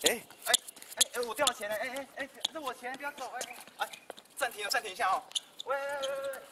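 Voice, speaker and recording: A raised, projected voice rushes at a very fast pace with ordinary pitch variation over loud background noise. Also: man. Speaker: tennis umpire. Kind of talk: comedy sketch dialogue. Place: stadium. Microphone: camera far.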